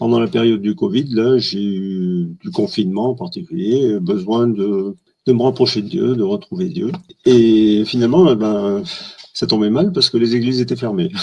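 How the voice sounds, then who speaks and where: A man talks at a medium pitch and a moderate pace. His pitch swings very widely. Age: 60s. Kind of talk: testimony. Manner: halting, many hesitations.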